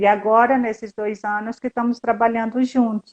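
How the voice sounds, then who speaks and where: Talking at a moderate speed, a woman has an ordinary speaking voice pitched fairly high. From Brazil, Northeast. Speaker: historian and fashion designer living abroad. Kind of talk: casual interview chat.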